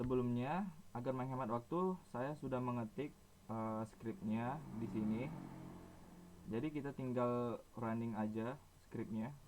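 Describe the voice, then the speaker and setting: The voice moves at a fairly slow pace with ordinary pitch variation. Long, frequent pauses fill the speech. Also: man, medium pitch for a man. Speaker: university student. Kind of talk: tutorial. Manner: halting, many fillers.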